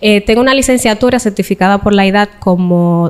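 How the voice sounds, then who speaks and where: A woman speaks at a fairly quick pace. Her medium pitch stays fairly even in intonation. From Dominican Republic, Cibao (Santiago). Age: young. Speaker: interview guest sharing life story. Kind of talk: interview testimony.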